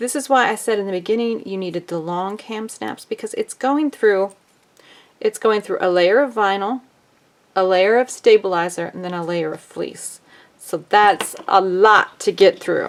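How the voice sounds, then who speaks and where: A normal speaking voice from a woman, medium in pitch with ordinary pitch variation, a moderate pace and big swings in loudness. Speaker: sewing crafter. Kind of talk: tutorial. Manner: casual.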